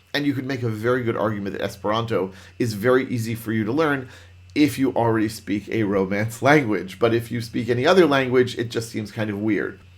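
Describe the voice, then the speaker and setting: In a room with audible echo, a man talks at a fairly quick pace in an animated, medium-pitched voice. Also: ordinary pitch variation. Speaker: Python trainer. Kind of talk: lecture. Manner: fast.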